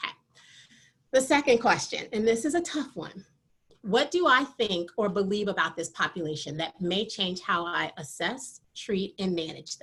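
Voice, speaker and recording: Loud and at a moderate pace, a woman with an American accent speaks at a medium pitch with very wide pitch swings. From Michigan, US (military family). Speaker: athletic training professor. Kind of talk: lecture.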